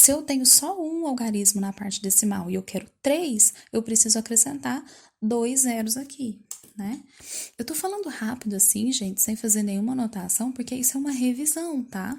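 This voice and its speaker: Speaking at a moderate pace, the voice has lively intonation. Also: woman, high pitch for a woman. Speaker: math teacher. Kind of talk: lesson for pupils.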